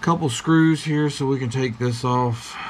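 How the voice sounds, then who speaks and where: A man talks fairly slowly, with noticeable background noise around him. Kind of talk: casual tutorial commentary. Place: workshop. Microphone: camera far.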